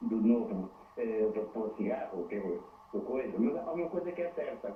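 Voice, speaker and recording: Over noticeable background noise and audible room echo, a man with a fairly high pitch talks at a moderate pace, his pitch swinging very widely. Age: 60s. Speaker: caller, hotel worker. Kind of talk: phone-in call to TV program. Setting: phone call.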